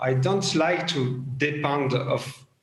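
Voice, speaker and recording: A man's fairly high voice with a French accent and audible room echo. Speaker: former government tech official, panelist. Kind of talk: panel discussion. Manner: halting.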